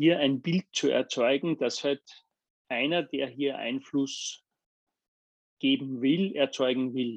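A man's fairly high voice, very slow, with long and frequent pauses and fairly even intonation, recorded dry and close with no echo against a quiet background. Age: 50s. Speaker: business executive. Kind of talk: interview. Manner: halting with frequent fillers.

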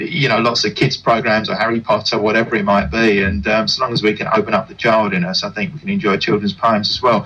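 This man speaks at a very fast pace. His medium-pitched voice has lively intonation. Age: 60s. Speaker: poet. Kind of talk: radio interview.

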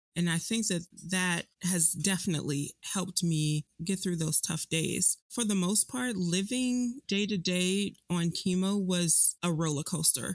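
A woman with an American accent at medium pitch, with ordinary pitch variation, very even loudness and hardly any pauses. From Chicago, US Midwest. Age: 30s. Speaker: cancer patient, public health professional. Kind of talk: personal testimony interview.

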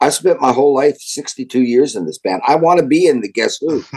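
Vocal fry from a man at a fairly high pitch, with ordinary pitch variation and a moderate pace. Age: 70s. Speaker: rock drummer. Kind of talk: interview.

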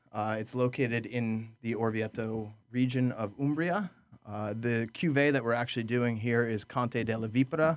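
In an American accent, a man talks at a moderate pace and a medium pitch. He has a normal speaking voice with fairly even intonation. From upstate New York (Orange County). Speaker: restaurant manager and sommelier. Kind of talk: casual interview. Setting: studio.

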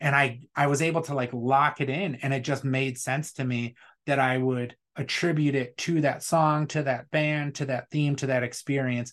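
A man with an Upper Midwest accent, fairly high in pitch, monotone with flat intonation, at a moderate pace over a quiet background. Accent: Upper Midwest American. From Wisconsin. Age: 40s. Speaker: beard products business owner, military veteran. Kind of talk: casual chat.

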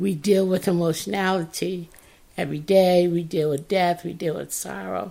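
Vocal fry runs through this woman's dark, mellow tone. She keeps a moderate pace and fairly even intonation. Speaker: podcast host. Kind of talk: reflective monologue with reading aloud.

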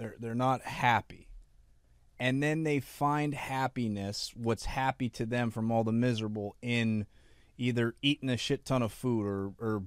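With an American accent, a man uses a normal speaking voice at medium pitch, moderate pace and fairly even intonation, recorded very cleanly against a silent background. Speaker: podcast co-host. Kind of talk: casual interview.

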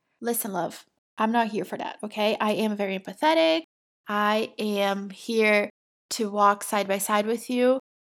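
A woman with a Brazilian accent speaks at a fairly slow pace and medium pitch, her intonation fairly even, in a very clean recording with a silent background. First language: Portuguese. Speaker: podcast coach. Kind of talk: solo podcast monologue. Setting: studio.

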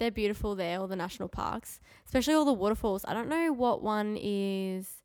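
A woman speaks at medium pitch and a fairly quick pace, her intonation lively and her tone slightly mellow.

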